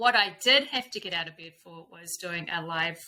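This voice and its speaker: A woman with a New Zealand accent, fairly low pitch, lively intonation and a fairly slow pace. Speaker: intuitive coach and spiritual guide. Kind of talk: casual chat. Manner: animated.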